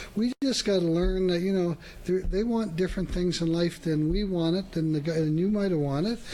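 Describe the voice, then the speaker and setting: A high-pitched man at a fairly quick pace, with ordinary pitch variation. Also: very even loudness. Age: 60s. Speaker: car dealer. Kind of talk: casual chat. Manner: animated.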